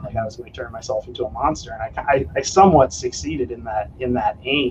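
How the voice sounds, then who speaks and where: A man with an American accent talks at a fairly quick pace. Noticeable background noise runs underneath. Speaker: kettlebell trainer. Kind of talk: casual chat.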